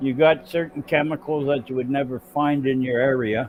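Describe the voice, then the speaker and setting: Here a man talks at a moderate pace. His pitch sits in the medium range. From Canada. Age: 60s. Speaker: livestream panel participant. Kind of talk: casual chat. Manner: animated.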